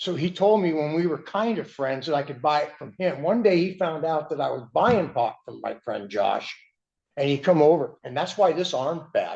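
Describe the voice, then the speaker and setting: With an unremarkable speaking voice, a man talks at a moderate pace, his fairly high pitch carrying lively intonation. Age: 60s. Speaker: respondent in a court hearing. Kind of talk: court testimony. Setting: courtroom. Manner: agitated.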